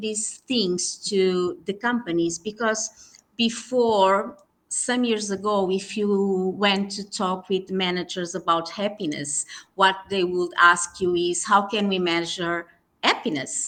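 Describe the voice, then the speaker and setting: Speaking at a very slow pace, a woman with a Portuguese accent keeps to a medium pitch. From Portugal. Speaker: HR consultant. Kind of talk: podcast interview. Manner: halting, many fillers.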